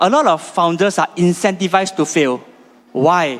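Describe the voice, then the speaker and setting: A man with a non-native accent speaks at a high pitch with lively intonation. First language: not Chinese. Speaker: startup founder pitching. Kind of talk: pitch presentation. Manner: halting, with fillers and repetitions.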